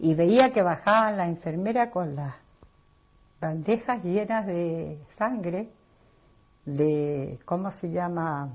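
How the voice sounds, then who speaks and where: A woman's fairly low voice at a very slow pace, with lively intonation and long, frequent pauses. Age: 60s. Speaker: interviewee. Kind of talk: personal testimony.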